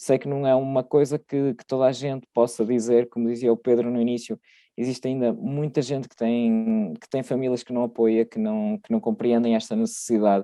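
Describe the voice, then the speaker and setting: A man's dark, mellow voice at a moderate pace, with fairly even intonation and hardly any pauses, dry and close with no echo against a quiet background. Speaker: podcast guest. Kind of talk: personal testimony. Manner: halting, with repetitions.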